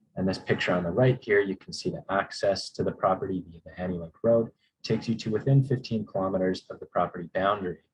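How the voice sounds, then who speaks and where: Somewhat breathy, a man speaks at a very fast pace in a fairly low pitch. His loudness swings widely while his pitch variation stays ordinary. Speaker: geologist presenting a mining project. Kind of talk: conference presentation.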